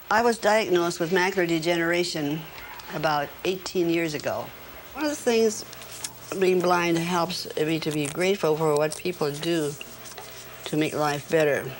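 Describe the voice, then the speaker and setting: Amid noticeable background noise, a woman speaks at a moderate pace and a fairly low pitch, with ordinary pitch variation and long, frequent pauses. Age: 80s+. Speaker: nun and peace activist. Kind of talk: casual chat.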